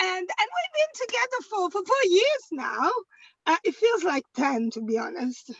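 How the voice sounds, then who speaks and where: The speaker has an Italian accent and very wide pitch swings. The sound is dry and close, with no echo. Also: woman. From Italy. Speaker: stand-up comedian. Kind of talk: stand-up. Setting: video call from a car.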